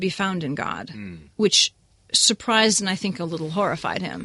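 A woman with an American accent and a bright, sharp tone speaks with lively intonation and vocal fry. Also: quiet background. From US, New England. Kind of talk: discussion. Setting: studio.

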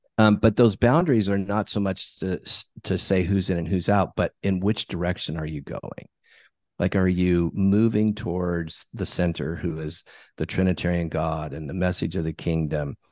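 Over a quiet background, a man with an American accent talks at a moderate pace in a very deep, low pitch with ordinary pitch variation, the sound dry and close with no echo. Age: 60s. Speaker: bishop and author. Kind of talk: interview.

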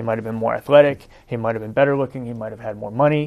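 A man with a New Jersey accent and ordinary pitch variation. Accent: New Jersey American. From US Northeast, New Jersey. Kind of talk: debate discussion.

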